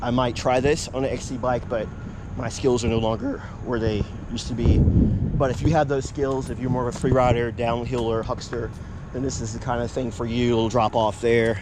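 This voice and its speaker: Noticeable background noise and audible room echo surround a man with an American accent who talks at a fairly quick pace with medium pitch and fairly even intonation. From Virginia, Hampton Roads area. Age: 50s. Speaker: mountain biking vlogger. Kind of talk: casual vlog narration. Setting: outdoors on bike trail.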